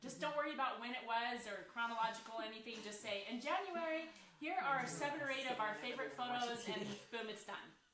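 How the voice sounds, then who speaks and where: Loud and lively in intonation, a woman speaks at a high pitch and a fairly quick pace amid audible room echo and noticeable background noise. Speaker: scrapbooking company owner hosting a live Q&A. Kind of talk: casual live-stream chat. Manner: loud, projecting.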